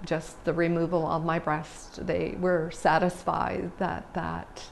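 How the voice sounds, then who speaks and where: The woman's words come out very slowly. Her voice carries clear echo from the room. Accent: Canadian. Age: 60s. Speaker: cancer survivor. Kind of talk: personal testimony.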